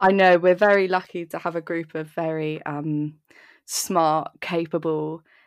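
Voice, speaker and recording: With a southern English accent, a woman speaks at a fairly slow pace in a fairly low pitch. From southern England, Dorset. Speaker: university student, seminar organizer. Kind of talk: casual chat. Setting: video call. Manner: animated.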